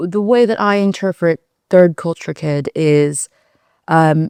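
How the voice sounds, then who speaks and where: A woman in a Californian accent at medium pitch, with a dry, close sound with no echo, on a very clean recording with a silent background. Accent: Californian American. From US, Silicon Valley, California. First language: Mandarin Chinese. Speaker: fintech company founder. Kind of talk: interview. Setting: studio.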